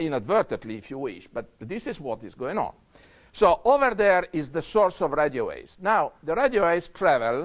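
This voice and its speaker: High-pitched man with a non-native accent, very wide pitch swings and a moderate pace, against a quiet background. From Europe. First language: not English. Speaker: scientist. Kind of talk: lecture. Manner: halting.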